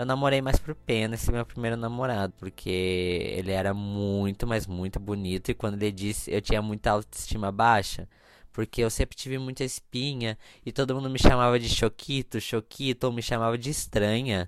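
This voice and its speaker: In a very clean recording with a silent background, a man of medium pitch speaks at a moderate pace in an animated tone. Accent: Brazilian. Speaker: podcast host. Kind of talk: casual solo podcast monologue.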